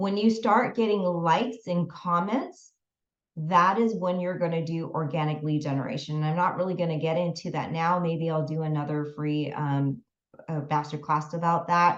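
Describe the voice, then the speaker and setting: A woman speaks in an ordinary speaking voice, fairly low in pitch. Her pace is moderate and her pitch varies in an ordinary way. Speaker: business and mindset coach. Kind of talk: online masterclass.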